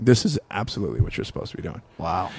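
Vocal fry runs through this man's voice, heard in an American accent. He talks at a very fast pace. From Long Beach, California. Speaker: comedian. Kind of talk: casual chat.

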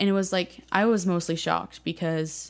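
The recording is very clean with a silent background. A woman talks at a moderate pace with an American accent. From Northern California, Bay Area. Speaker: college student, pre-med. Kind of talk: personal testimony interview.

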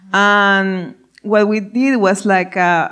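A woman with a Spanish accent. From Ecuador. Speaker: food startup CEO. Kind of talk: live panel interview. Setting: stage with audience.

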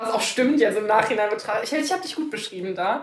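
A woman speaks with lively intonation. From Cologne, Germany. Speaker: podcast co-host, law student. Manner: loud.

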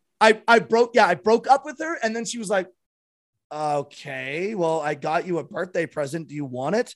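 A man with a Canadian accent, high-pitched, at a moderate pace, with very wide pitch swings and big swings in loudness. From Canada. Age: 30s. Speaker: streamer and former musician. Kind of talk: casual chat.

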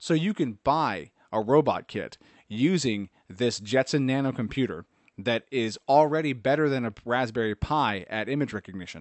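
A normal speaking voice from a man, medium in pitch, at a moderate pace with lively intonation. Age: 30s. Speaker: tech podcast host. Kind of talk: solo podcast commentary.

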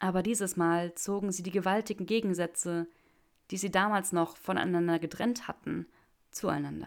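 Fairly even intonation from a natural reading voice.

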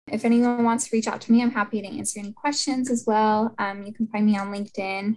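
A woman talks very fast in a fairly high, somewhat breathy voice. Her intonation is fairly even. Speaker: interior designer and stylist. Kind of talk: interview.

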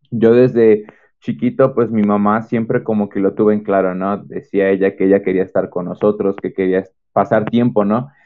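This man has a normal speaking voice with fairly low pitch. He talks at a moderate pace. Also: fairly even intonation. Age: 20s. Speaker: engineering student. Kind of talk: testimony.

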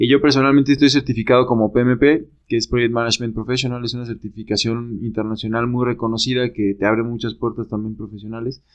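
This man talks at a very fast pace in a medium pitch, his intonation monotone and flat, with hardly any pauses. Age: 30s. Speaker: urban development professional. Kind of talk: casual chat.

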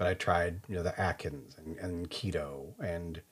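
Somewhat breathy, a man with an American accent talks at a moderate pace. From US Midwest, Kansas City area. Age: 40s. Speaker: podcast host. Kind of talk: casual chat.

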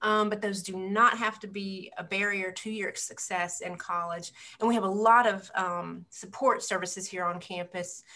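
The speaker has a bright, sharp tone and a monotone, flat intonation at a moderate pace. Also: woman, medium pitch for a woman. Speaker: podcast host and counselor. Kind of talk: podcast discussion, interviewing guests.

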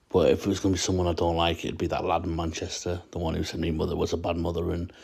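A man talks at a very fast pace with a very deep, low pitch. His intonation is monotone and flat. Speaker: listener participant. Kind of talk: casual chat.

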